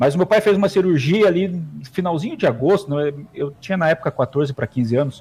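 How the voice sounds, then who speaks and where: With lively intonation and a high pitch, a man races along at a very fast pace. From Paraná, Brazil (Ponta Grossa). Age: 40s. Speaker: sports announcer and radio broadcaster. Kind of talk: casual interview.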